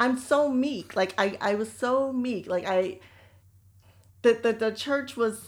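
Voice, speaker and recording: Here a woman with an American accent has an ordinary speaking voice. She talks at a moderate pace with a fairly high pitch and ordinary pitch variation. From United States. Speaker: podcast co-host. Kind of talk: casual chat.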